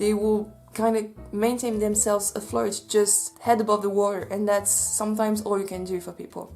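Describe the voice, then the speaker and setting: With music in the background, a woman in a Swiss French accent speaks at a moderate pace in a monotone, flat way, with hardly any pauses. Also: medium pitch for a woman. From French-speaking Switzerland. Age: 20s. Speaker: social worker. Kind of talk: casual talk to camera.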